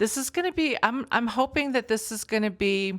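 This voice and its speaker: On a very clean recording with a silent background, a woman talks at a fairly quick pace with lively intonation. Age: 60s. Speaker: psychic medium and vlogger. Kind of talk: casual chat. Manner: halting, many fillers.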